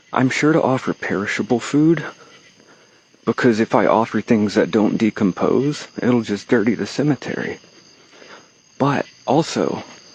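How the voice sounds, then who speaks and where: A man with a Texan accent, at a fairly slow pace, with ordinary pitch variation and a dry, close sound with no echo. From Texas. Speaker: occult vlogger. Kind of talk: casual vlog monologue. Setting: outdoors, walking from a cemetery at night. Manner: rambling with fillers and pauses.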